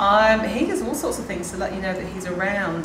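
Noticeable background noise surrounds this recording. A woman speaks at a very fast pace. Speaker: local ghost tour guide. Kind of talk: interview answer. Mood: cheerful, storytelling. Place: tunnel cave.

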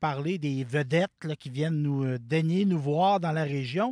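A man with a Quebec accent talks at a fairly slow pace in a dark, mellow tone with ordinary pitch variation, dry sound with no echo and a quiet background. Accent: Québécois French. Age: 40s. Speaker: community TV director. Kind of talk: interview. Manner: halting. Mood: grateful, warm. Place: open country. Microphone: handheld.

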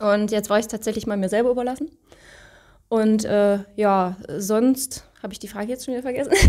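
Speaking at a fairly quick pace, a woman has a fairly high pitch, a dark, mellow tone and fairly even intonation over a quiet background. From Saxony, eastern Germany (Leipzig); Saxony. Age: 30s. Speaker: coaching client. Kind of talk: interview. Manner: hesitant, many fillers. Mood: relaxed, smiling. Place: studio. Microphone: handheld.

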